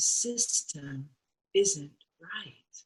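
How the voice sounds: A woman's put-on character voice, fairly low with a husky, rough edge, very slow pace and lively intonation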